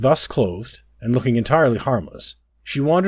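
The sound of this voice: The voice is an unforced reading voice with ordinary pitch variation. Behind it, the background stays quiet.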